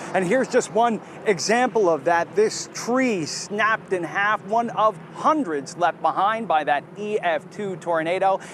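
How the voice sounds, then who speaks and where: A high-pitched man speaks at a fairly slow pace with hardly any pauses and ordinary pitch variation, over noticeable background noise. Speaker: TV news reporter. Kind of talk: breaking news live report. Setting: outdoors.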